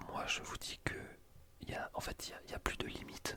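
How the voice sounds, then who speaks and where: The voice is a whisper. Background noise is noticeable. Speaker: ASMR YouTuber, student. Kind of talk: casual talk to camera.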